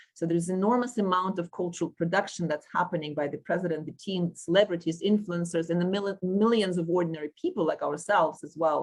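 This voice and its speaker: Speaking in a Russian accent, a woman talks very fast with hardly any pauses. Her pitch is fairly low and her intonation fairly even. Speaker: panel chair, sociology professor. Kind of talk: moderating an academic panel discussion. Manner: halting, many fillers and self-corrections.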